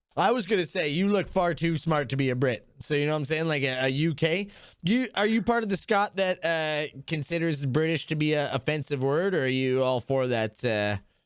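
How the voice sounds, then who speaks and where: On a very clean recording with a silent background, a man with a fairly high pitch talks at a fairly quick pace, his tone animated, his intonation lively and his loudness very even. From Canada. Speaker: online talk show host interviewing strangers. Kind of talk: casual chat.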